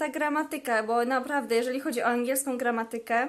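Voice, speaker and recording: A woman speaks at a high pitch. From Poland. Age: 20s. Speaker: language vlogger. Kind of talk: casual vlog talk. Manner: hesitant fillers.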